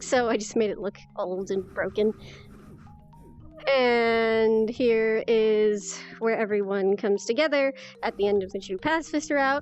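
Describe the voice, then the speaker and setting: Music plays behind a woman whose fairly high voice carries an upbeat, excited tone with ordinary pitch variation. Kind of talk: casual game showcase talk.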